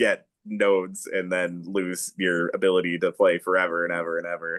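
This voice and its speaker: This man speaks at a moderate pace, and the sound is dry and close with no echo. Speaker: countertenor opera singer. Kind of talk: casual podcast conversation. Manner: halting, with restarts.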